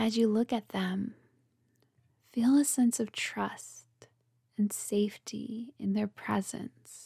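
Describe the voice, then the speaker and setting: On a very clean recording with a silent background, a woman speaks at a very slow pace with a fairly high, somewhat breathy voice, a soothing, gentle tone that is also dark and mellow, fairly even intonation and long, frequent pauses, in a dry, close sound with no echo. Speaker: meditation guide. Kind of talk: guided relaxation meditation for couples' intimacy, second-person visualization. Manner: slow, soothing, unhurried pacing with breath cues; gentle, warm and tender delivery.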